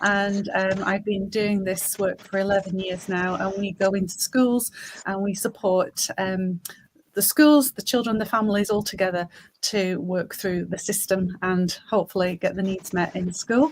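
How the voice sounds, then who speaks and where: With a Lancashire accent, a woman speaks at a moderate pace in a medium pitch. Her voice is somewhat breathy and her intonation fairly even. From Lancashire, northern England. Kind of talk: panel discussion.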